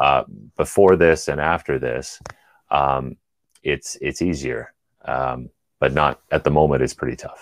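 Using a Canadian accent, a man with a very deep, low pitch and vocal fry talks at a fairly slow pace with fairly even intonation and long, frequent pauses, in a dry, close sound with no echo. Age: 40s. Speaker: engineer. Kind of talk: casual chat.

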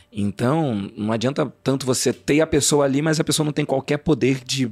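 A man speaks at a moderate pace with a medium pitch and ordinary pitch variation. The sound is dry and close, with no echo. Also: very clean recording, silent background. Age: 30s. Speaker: journalist and actor. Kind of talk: interview conversation. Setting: studio. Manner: hesitant, repeats words.

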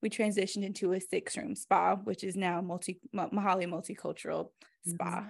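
A woman with an American accent speaks at a moderate pace, her voice showing vocal fry. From US South, Greensboro, North Carolina. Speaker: esthetician and spa owner. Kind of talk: casual chat.

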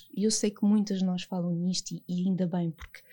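On a very clean recording with a silent background, a woman with a European Portuguese accent speaks at a very fast pace, somewhat breathy and dark and mellow in tone, with fairly even intonation. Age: 30s. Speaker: clinical psychologist and author. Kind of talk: podcast interview, personal testimony.

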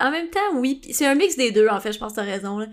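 Here a woman speaks with a Quebec accent. Her voice is high, with lively intonation. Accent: Québécois French. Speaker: podcast co-host. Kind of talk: casual chat.

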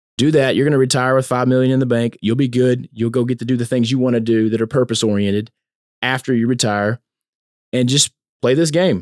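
A man's medium-pitched voice at a very fast pace, with fairly even intonation and very even loudness, in a dry, close sound with no echo. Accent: Louisiana. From US South. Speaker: preacher's son, corporate professional sharing faith story. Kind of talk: casual chat, testimony. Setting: recorded live at a men's conference.

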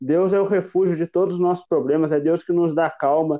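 Speaking at a moderate pace, a man with a fairly high pitch and a plain, everyday voice uses ordinary pitch variation. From Brazil, southern Minas Gerais (Itajubá). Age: 20s. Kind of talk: faith testimony.

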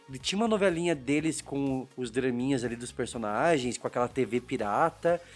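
Music plays behind a man speaking at a medium pitch with ordinary pitch variation. He keeps a moderate pace with hardly any pauses. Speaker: podcast host. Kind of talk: casual chat; scripted narration.

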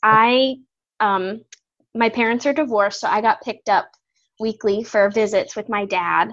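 Against a quiet background, a woman with a fairly high pitch and ordinary pitch variation speaks in a normal speaking voice. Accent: American. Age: 20s. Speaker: former music student. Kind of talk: casual chat.

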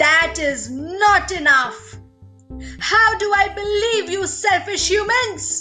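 In a put-on character voice, a woman talks at a fairly slow pace with extremely high pitch while faint music plays in the background. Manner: roaring, angry.

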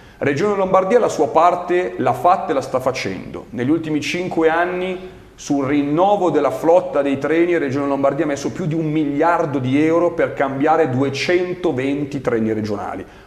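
A man with a fairly high voice talks at a moderate pace with ordinary pitch variation. Noticeable background noise and audible room echo fill the recording. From Milan, northern Italy. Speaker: local politician, regional election candidate. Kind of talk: interview. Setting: studio.

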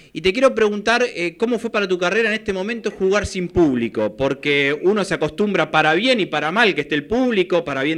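Lively intonation at a fairly quick pace. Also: man. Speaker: sports radio host. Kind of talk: radio interview.

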